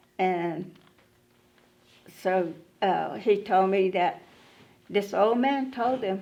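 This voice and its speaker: Woman's voice at medium pitch with a dark, mellow tone, very slow pace, ordinary pitch variation and long, frequent pauses. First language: Muscogee Creek. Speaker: Creek language elder. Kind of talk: interview testimony.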